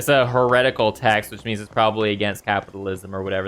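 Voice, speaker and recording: Background music accompanies this clip. The man's voice sits fairly low. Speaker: gaming streamer. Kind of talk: let's play commentary. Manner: casual, thinking aloud.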